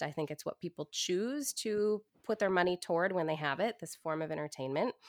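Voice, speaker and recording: Speaking with an American accent, a woman uses a fairly low pitch at a moderate pace with ordinary pitch variation, in a very clean, dry, close recording with no echo and a silent background. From US Pacific Northwest, Portland, Oregon. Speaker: actor and stand-up comedian. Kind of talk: interview.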